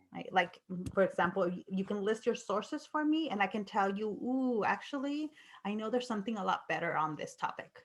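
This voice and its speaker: Lively intonation marks a woman's somewhat breathy speech at a fairly quick pace. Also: fairly high pitch for a woman. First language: not English. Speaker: university lecturer. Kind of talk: lecture. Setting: video call. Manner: halting.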